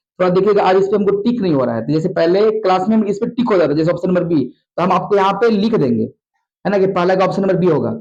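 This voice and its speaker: Delivered at a very fast pace with ordinary pitch variation, the speech has audible room echo. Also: man, high pitch for a man. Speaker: maths teacher. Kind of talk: tutorial. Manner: fast, repetitive.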